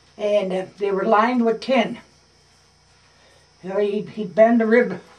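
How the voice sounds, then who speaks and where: With noticeable background noise behind him, a man with a high pitch speaks in an American accent and a monotone, flat intonation. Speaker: war veteran, former merchant mariner. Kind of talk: interview answer.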